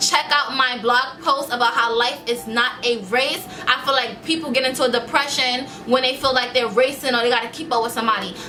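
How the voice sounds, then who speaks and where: A woman's animated, high-pitched voice at a fairly quick pace, with ordinary pitch variation, very even loudness, audible room echo and music in the background. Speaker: vlogger and small business owner. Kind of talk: motivational vlog talk.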